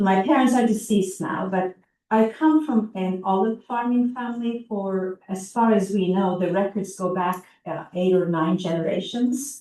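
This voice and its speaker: A woman's dark, mellow tone at a moderate pace, with ordinary pitch variation. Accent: Turkish. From Turkey. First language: Turkish. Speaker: psychologist. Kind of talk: oral history interview.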